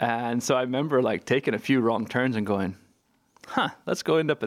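On a very clean recording with a silent background, a man with an American accent talks at a fairly quick pace, with medium pitch and ordinary pitch variation. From California. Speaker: artist and expat. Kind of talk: interview conversation. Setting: garden shed at home. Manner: hesitant, many fillers and restarts.

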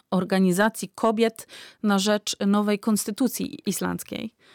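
In a very clean recording with a silent background and a dry, close sound with no echo, a woman speaks at a fairly slow pace in an unremarkable speaking voice, her medium pitch held in fairly even intonation. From Poland. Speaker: immigrant rights activist. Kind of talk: interview.

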